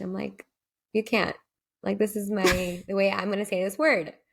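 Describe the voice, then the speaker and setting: A woman speaks at a fairly quick pace with a medium pitch. Vocal fry runs through her voice. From Urdu-speaking.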